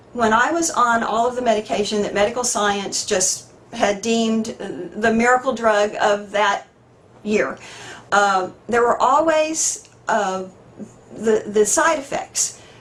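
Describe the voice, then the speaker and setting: Fairly high in pitch, a woman speaks at a fairly slow pace with lively intonation. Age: 60s. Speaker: patient giving testimonial. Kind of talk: testimony. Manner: halting.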